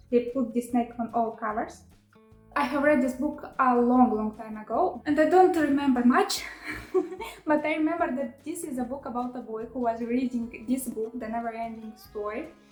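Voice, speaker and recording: With a Romanian accent, a woman with a high pitch talks at a moderate pace and ordinary pitch variation. Noticeable background noise runs underneath. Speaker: book vlogger. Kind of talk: casual vlog chat. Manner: halting with many fillers; animated.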